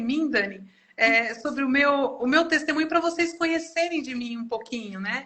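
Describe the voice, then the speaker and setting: Her voice high, a woman speaks at a moderate pace with ordinary pitch variation. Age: 60s. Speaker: pastor. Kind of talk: testimony. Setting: online live stream. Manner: halting.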